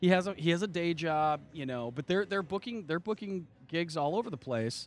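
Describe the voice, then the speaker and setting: Speaking at a fairly quick pace in an American accent, the voice moves through very wide pitch swings. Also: man. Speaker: podcast host. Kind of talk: casual chat. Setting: outdoors.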